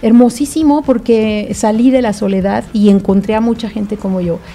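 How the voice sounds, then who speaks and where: A woman speaks over noticeable background noise. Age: 50s. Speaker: author and lupus patient advocate. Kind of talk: interview. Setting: studio.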